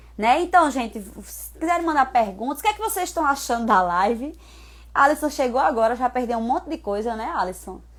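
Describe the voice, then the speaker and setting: At a fairly quick pace, the voice shows very wide pitch swings and big swings in loudness on a very clean recording with a silent background. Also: woman, high pitch for a woman. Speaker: personal trainer. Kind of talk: live stream talk.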